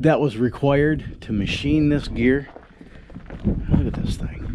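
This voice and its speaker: A man speaks against noticeable background noise. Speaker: explorer vlogger. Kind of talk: casual vlog chat. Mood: curious, relaxed. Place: open country. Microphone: phone near.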